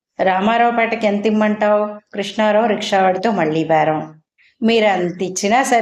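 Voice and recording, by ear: A quiet background behind someone reading aloud in a natural voice, ordinary pitch variation throughout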